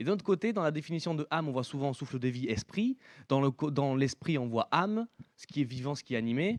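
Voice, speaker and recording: This man has an unremarkable speaking voice with lively intonation. He talks at a fairly quick pace against a quiet background. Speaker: preacher. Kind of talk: sermon.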